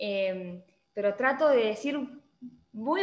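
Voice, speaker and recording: A woman is speaking. Her pitch swings very widely. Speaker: lawyer. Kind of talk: online panel talk.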